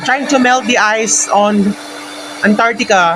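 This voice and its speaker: A man speaks at a fairly slow pace. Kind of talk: casual DIY tutorial talk to camera.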